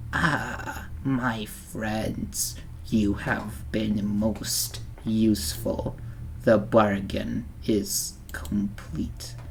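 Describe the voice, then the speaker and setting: In a put-on character voice pitched low, the speaker goes at a very slow pace over clear background noise. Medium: read story. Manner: terse, commanding, broken phrasing.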